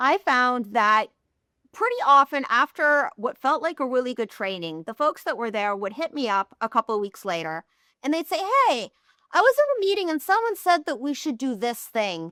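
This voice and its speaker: A woman's raised, projected voice, high and bright with a sharp tone, very wide pitch swings, a moderate pace, and a dry, close sound with no echo. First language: not English. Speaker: healthcare data executive. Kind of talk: podcast interview.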